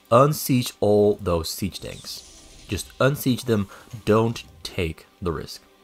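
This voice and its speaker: Over background music, a man with a fairly low pitch speaks at a very slow pace, with ordinary pitch variation and big swings in loudness. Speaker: game commentator. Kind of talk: esports game casting.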